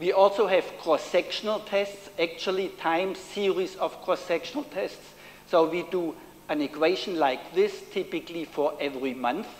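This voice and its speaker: Speaking with a German accent, a man uses a high pitch and ordinary pitch variation. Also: moderate pace. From Germany. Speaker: professor. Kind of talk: lecture. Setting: stage with audience. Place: hall.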